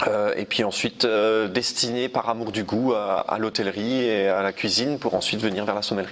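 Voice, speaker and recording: With hardly any pauses, a man speaks at a moderate pace in a fairly low, monotone, flat voice against noticeable background noise. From Alsace, France (Munster valley near Colmar). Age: 30s. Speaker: sommelier. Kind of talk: interview. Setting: wine cellar. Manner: hesitant, many fillers.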